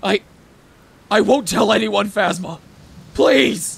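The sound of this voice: Speaking at a very slow pace, a man has a high pitch.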